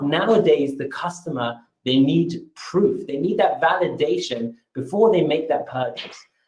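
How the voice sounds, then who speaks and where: A man speaks with a British accent. His pitch varies in an ordinary way. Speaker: marketing presenter. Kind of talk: webinar presentation. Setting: webinar. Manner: energetic.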